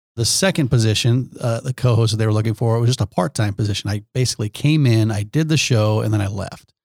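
A man's somewhat breathy, medium-pitched voice at a very fast pace with hardly any pauses and ordinary pitch variation, dry and close with no echo, on a very clean recording with a silent background. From Nebraska, Omaha. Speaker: businessman and former TV host. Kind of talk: casual interview.

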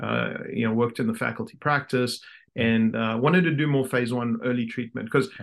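With a South African accent, a man talks at a medium pitch. His pace is fairly quick, with ordinary pitch variation. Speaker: orthodontist and practice owner. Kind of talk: casual interview chat. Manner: halting, many fillers.

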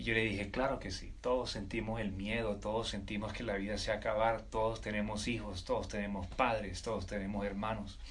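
Fairly low in pitch, a man talks fairly quickly with vocal fry and monotone, flat intonation. Audible room echo surrounds his voice. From Colombia, Caribbean coast (Riohacha, La Guajira). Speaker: military officer and entrepreneur. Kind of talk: interview conversation.

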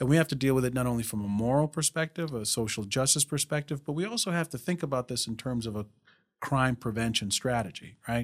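Recorded very cleanly with a silent background and a dry, close sound with no echo, a man speaks at a very fast pace. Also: medium pitch for a man, ordinary pitch variation. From Rhode Island (Pawtucket), born abroad on the islands. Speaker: district attorney. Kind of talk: interview. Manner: halting, many fillers and restarts.

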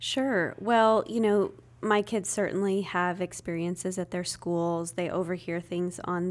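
A woman with an unremarkable speaking voice and a fairly low pitch. She talks at a moderate pace on a very clean recording with a silent background. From US Northwest, Spokane, Washington. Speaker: nonprofit executive director. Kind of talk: podcast interview.

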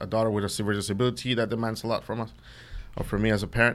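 The speaker has a Mexican accent and a monotone, flat intonation. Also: man. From Central West Mexico. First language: Spanish. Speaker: chef. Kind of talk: casual interview chat. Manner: hesitant, filler-heavy.

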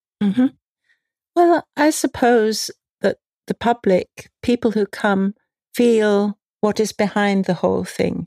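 A woman with a London accent, a fairly high pitch and a dark, mellow tone, ordinary pitch variation, very even loudness, a fairly slow pace with long, frequent pauses, and a dry, close sound with no echo. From London, England. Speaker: potter and craft market founder. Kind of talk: interview.

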